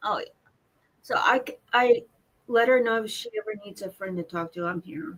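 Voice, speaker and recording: A woman with an American accent at a moderate pace, fairly high in pitch with ordinary pitch variation, long, frequent pauses and big swings in loudness. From Seattle, US Pacific Northwest. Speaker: viewer joining the stream. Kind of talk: casual chat. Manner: halting.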